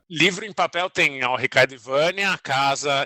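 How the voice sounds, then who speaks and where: A man with a fairly high pitch and a bright, sharp tone is heard in a dry, close recording with no echo. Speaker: author and journalist. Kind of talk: casual podcast chat. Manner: mumbling, speaks inward.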